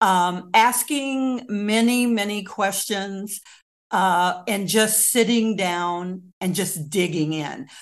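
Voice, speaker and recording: Her pace is very slow. The woman speaks in an American accent at a medium pitch with ordinary pitch variation. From US Midwest, rural Kansas. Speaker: local historian and author. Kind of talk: interview.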